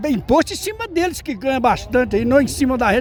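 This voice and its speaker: Clear background noise is present throughout. The words come rather quickly. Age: 70s. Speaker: rally participant interviewed. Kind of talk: street interview.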